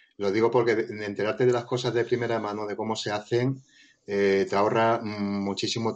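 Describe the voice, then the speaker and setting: His voice sits fairly low in pitch. The man's intonation stays monotone and flat. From Spain, Madrid (Móstoles). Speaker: light painting photographer. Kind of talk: podcast interview.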